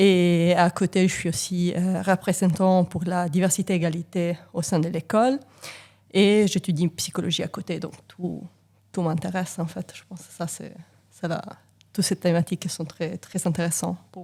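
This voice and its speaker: In an Italian accent, a woman with a dark, mellow tone and fairly low pitch speaks at a moderate pace with fairly even intonation on a very clean recording with a silent background. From Italy. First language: Italian (speaking French). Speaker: engineering professor. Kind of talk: casual interview. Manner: hesitant, many fillers.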